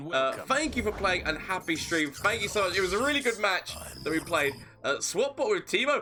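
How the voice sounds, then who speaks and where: With music in the background, a man raises and projects his voice at a high pitch, moving at a moderate pace through very wide pitch swings. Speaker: gaming streamer. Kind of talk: live gameplay commentary.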